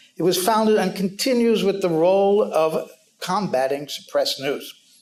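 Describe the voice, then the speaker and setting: A man's high-pitched voice with a New York accent, ordinary pitch variation and very even loudness. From New York City. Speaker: news editor. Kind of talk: panel talk. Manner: fast.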